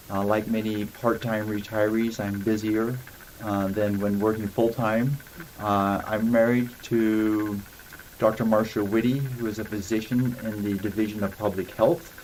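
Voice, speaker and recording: Noticeable background noise beneath monotone, flat intonation. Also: man, fairly low pitch for a man, fairly slow pace. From Idaho, US. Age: 70s. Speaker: city council candidate, retired Olympic athlete. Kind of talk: interview. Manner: hesitant fillers.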